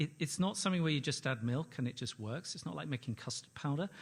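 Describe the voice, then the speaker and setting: Very fast and somewhat breathy, a man speaks on a very clean recording with a silent background. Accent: London. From London, England. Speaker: ad-tech company executive, conference panelist. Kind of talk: conference presentation. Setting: stage with audience.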